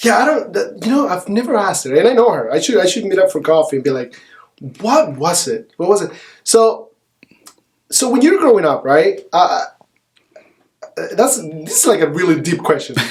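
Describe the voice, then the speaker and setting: With a Spanish accent, a man speaks in an animated tone at a moderate pace, his high pitch swinging very widely and broken by long, frequent pauses. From El Salvador. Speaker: realtor. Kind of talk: podcast interview.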